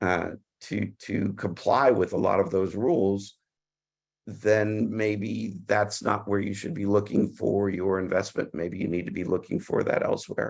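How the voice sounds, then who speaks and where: Fairly low in pitch, a man talks with an American accent. He goes at a fairly slow pace with ordinary pitch variation. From United States. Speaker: M&A lawyer panelist. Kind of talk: webinar panel discussion. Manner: halting, with many repetitions and fillers.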